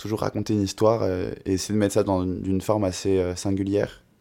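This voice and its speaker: With a very clean recording and a silent background, a man speaks at a moderate pace in a fairly low, monotone, flat voice. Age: 20s. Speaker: singer-songwriter. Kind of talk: casual interview.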